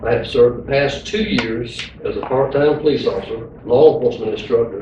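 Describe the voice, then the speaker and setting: A man with an American accent talks amid audible room echo and noticeable background noise. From eastern North Carolina. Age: 50s. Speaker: sheriff candidate, police chief. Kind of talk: campaign speech, partly read from a news release. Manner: hurried.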